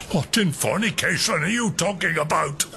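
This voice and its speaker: A man's put-on character voice, high in pitch, against clear background noise. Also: moderate pace. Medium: audio drama. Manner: blustering, rambling, forgetful.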